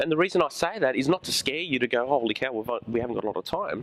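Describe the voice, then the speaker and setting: Against noticeable background noise, a man talks at a fairly quick pace and fairly high pitch, with ordinary pitch variation and a dry, close sound with no echo. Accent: Australian. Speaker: high school teacher. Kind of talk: school presentation. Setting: room with student audience. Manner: animated.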